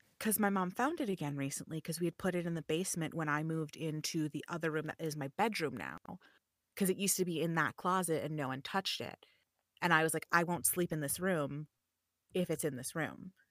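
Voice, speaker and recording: A woman with an American accent and an ordinary speaking voice, fairly low in pitch with ordinary variation, in a dry, close sound with no echo. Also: fairly quick pace. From US Midwest, Chicago. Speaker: voiceover artist and streamer. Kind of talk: casual chat. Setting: home studio, remote call.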